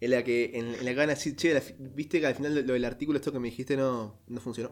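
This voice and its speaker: With fairly even intonation and a medium pitch, a man talks at a very fast pace. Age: 20s. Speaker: podcast co-host. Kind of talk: casual chat. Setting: remote recording.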